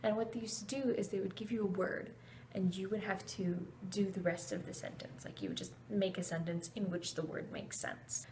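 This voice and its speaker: The voice is quiet and moves at a moderate pace, with noticeable background noise behind it. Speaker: vlogger. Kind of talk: storytelling vlog. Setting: at home at night, roommate next door. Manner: quiet, hushed.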